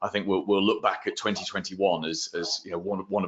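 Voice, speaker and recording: A man with a British accent talks at a very fast pace. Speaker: marketing consultant. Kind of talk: round table advice session. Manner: animated.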